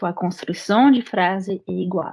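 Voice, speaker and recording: With a French accent, a woman speaks in a somewhat breathy, medium-pitched voice. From France. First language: French (speaking Portuguese). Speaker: French teacher and immigration paralegal. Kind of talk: interview.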